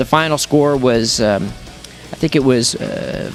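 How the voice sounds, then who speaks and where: A man speaks with music playing in the background. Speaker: ring announcer. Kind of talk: interview answer. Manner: conversational.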